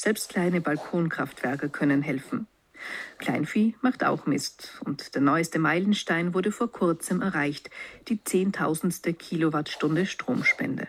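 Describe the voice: Speaking slowly, a woman has a low voice with a slightly husky edge. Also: ordinary pitch variation.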